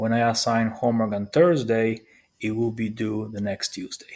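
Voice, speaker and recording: A man with a non-native accent speaks at a fairly slow pace. His pitch is medium and his intonation fairly even. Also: very clean recording, silent background. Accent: foreign. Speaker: high school math teacher. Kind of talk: recorded presentation to parents.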